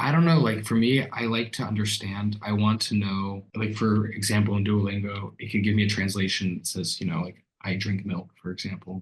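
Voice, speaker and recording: In an American accent, a man talks at a fairly low pitch with a somewhat breathy voice and fairly even intonation. His pace is fairly quick, with hardly any pauses. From USA, Florida. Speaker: language student. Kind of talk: interview. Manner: halting.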